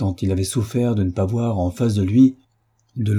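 A natural voice reads aloud against a quiet background.

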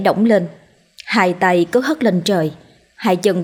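Someone is reading aloud in a natural voice, letting the pitch vary in an ordinary way.

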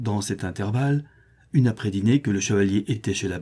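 Normal pitch movement in plain reading aloud

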